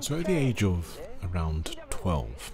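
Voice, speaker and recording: A somewhat breathy male voice. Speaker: opera singer. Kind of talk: personal story narration.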